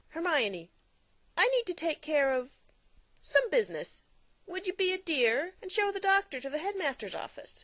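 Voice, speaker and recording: Using a squeaky, put-on character voice at an extremely high pitch, a woman swings her pitch very widely at a moderate pace with long, frequent pauses. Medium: audio drama. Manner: teasing, playful.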